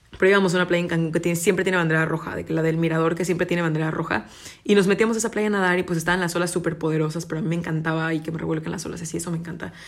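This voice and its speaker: Over noticeable background noise, a woman rushes at a very fast pace in a fairly low, monotone voice with flat intonation. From Mexico, Cancún. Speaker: podcaster and university student. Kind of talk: casual solo chat.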